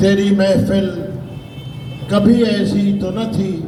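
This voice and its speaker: A man with a high-pitched voice speaks in a flat monotone, with noticeable background noise and audible room echo. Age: 70s. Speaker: religious political leader. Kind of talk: public speech at a rally. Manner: formal oratorical.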